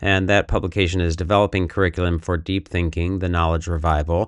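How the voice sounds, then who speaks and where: A man with an American accent and a very deep, low pitch, at a moderate pace, with a dry, close sound and no echo. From United States. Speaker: podcast host. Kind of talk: podcast intro and moderated panel discussion. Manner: casual with frequent fillers.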